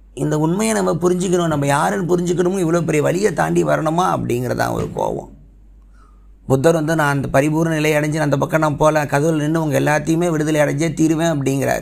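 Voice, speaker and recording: Ordinary pitch variation is heard in a recording with audible room echo. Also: man, fairly high pitch for a man. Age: 30s. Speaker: podcast host. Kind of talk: solo monologue podcast.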